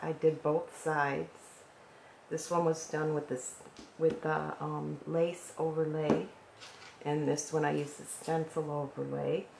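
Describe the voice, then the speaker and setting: With noticeable background noise, a woman talks in a very deep, low pitch. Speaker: decorative painting instructor. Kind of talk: tutorial. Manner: conversational, relaxed.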